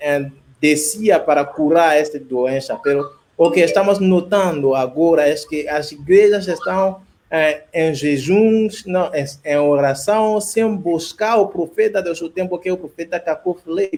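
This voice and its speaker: A man's high-pitched voice, fairly slow and with ordinary pitch variation. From Ivory Coast. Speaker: pastor. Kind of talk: religious discussion. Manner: halting.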